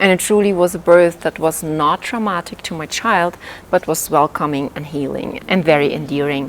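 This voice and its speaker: The speaker has a non-native accent and a moderate pace. Pitch varies in an ordinary way. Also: woman, very deep, low pitch for a woman. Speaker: life coach. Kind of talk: vlog talk to camera.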